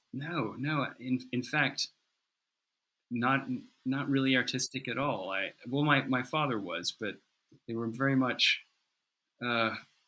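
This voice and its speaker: On a very clean recording with a silent background, a man with an American accent speaks at a fairly slow pace in a medium pitch, with a bright, sharp tone and fairly even intonation. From US South, North Carolina mountains. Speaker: goldsmith. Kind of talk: interview. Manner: halting, many repeated words.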